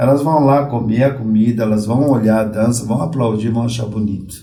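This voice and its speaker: Medium in pitch, a man speaks with a dark, mellow, somewhat breathy tone and ordinary pitch variation. His pace is moderate, and room echo is audible. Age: 60s. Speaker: Umbanda priest. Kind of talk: podcast interview.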